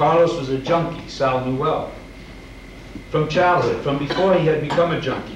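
At a moderate pace, a man with a fairly high pitch talks with ordinary pitch variation, with audible room echo and light background noise. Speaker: writer reading a short story. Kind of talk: reading a short story aloud. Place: hall.

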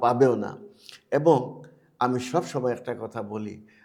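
A man talks in a medium pitch. Noticeable noise can be heard in the background. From Bangladesh, Sylhet. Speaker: expatriate philanthropist and school founder. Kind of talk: interview. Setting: studio.

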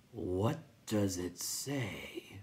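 Whispering in a put-on character voice, this breathy speaker moves along at a very slow pace. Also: woman.

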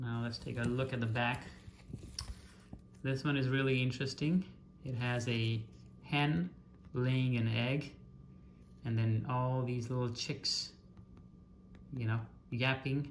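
A man speaks with fairly even intonation and long, frequent pauses. Light background noise sits behind him. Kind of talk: show-and-tell commentary. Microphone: phone near.

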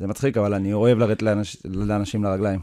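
A man speaks with a dark, mellow tone in a dry recording with no echo. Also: quiet background. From kibbutz in northern Israel, born in South Africa. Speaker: professional football goalkeeper; interview guest. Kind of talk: interview. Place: studio. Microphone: studio mic.

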